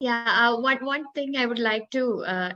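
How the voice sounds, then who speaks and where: A woman with a Malayali accent speaks in a bright, sharp tone. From India, Kerala. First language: Malayalam. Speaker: English language academic. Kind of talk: panel discussion. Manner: hesitant, many fillers.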